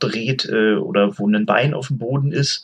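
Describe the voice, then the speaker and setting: Very slowly, a man talks at a medium pitch, his pitch varying in an ordinary way. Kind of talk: casual chat.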